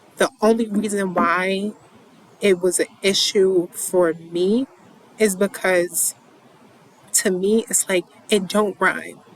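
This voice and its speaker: This woman speaks very slowly in a flat monotone at a medium pitch, with a slight New York accent. Long, frequent pauses break her speech, and the dry, close sound has no echo but noticeable background noise. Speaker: poetry reader and commentator. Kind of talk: casual monologue. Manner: halting, many repetitions.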